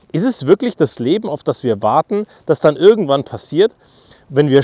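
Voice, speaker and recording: A man's fairly high, animated voice moves at a fairly quick pace in a dry, close sound with no echo. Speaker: podcaster. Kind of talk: monologue.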